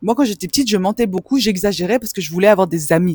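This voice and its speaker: A somewhat breathy woman's voice at medium pitch, with very wide pitch swings, in a dry, close sound with no echo and a very clean recording with a silent background. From Belgium (Hainaut, village near Brussels). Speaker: spiritual mentor for women. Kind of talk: personal testimony vlog. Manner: casual, conversational with fillers.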